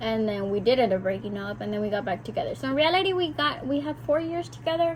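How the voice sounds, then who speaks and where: A woman talks at a fairly quick pace. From South Texas (McAllen), Mexican-American family. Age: 20s. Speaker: vlogger. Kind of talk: casual chat. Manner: talkative, chatty.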